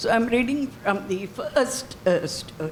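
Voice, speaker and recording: A woman with an Indian accent and fairly high pitch speaks at a fairly slow pace with lively intonation over noticeable background noise. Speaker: reader at a reading. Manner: hesitant, many fillers.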